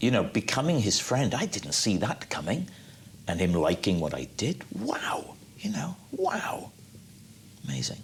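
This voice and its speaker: A man whispers in a Welsh accent at a fairly slow pace, with long, frequent pauses. Background noise is noticeable. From Wales. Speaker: actor and comedian. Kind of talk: interview answer.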